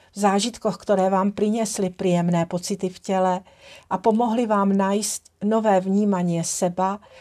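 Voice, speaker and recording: In a Czech accent, a woman speaks fairly slowly at a medium pitch, her tone dark, mellow, warm and gentle. Her intonation is monotone and flat with big swings in loudness, on a very clean recording with a silent background. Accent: Czech-accented Slovak. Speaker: holistic trainer, tantra massage teacher and founder of a training brand. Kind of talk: casual talk to camera, personal introduction. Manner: warm, gentle, grateful.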